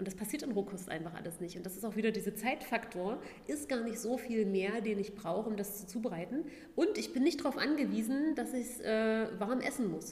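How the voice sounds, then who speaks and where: A woman's fairly high voice, lively in intonation and fairly quick, with audible room echo. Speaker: vegan food blogger and former fitness trainer. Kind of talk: casual interview.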